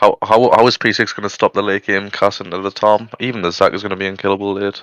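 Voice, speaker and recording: A fairly low-pitched man with a Geordie accent speaks very fast in monotone, flat intonation, with a dry, close sound with no echo and a quiet background. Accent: northeast England (Geordie). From northern England, Newcastle. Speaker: esports caster. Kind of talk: live game commentary. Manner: casual, chatty.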